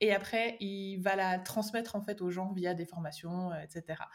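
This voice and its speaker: This woman's voice sits at a medium pitch, and her intonation stays fairly even. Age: 20s. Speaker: online course creator. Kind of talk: interview.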